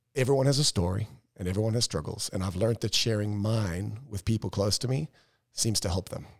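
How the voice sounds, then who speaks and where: A man's somewhat breathy, fairly low-pitched voice with ordinary pitch variation, in a dry, close sound with no echo and a very clean recording with a silent background. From South Africa. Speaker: real estate broker and co-owner. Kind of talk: casual podcast discussion.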